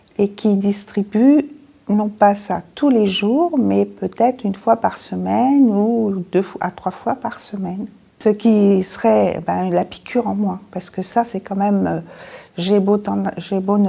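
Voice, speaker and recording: A woman speaks at a fairly slow pace with a medium pitch. Her tone is dark and mellow. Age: 60s. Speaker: patient. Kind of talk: testimony.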